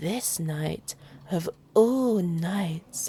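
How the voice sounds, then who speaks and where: A woman whispers softly in a put-on character voice. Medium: read story. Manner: soft, whispering.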